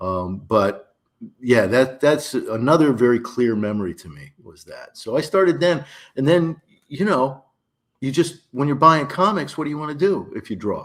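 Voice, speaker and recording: Speaking at a moderate pace with an American accent, a man talks in a fairly high voice whose loudness swings widely. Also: lively intonation. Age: 60s. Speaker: cartoonist. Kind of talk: interview, casual reminiscing. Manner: hesitant, many fillers.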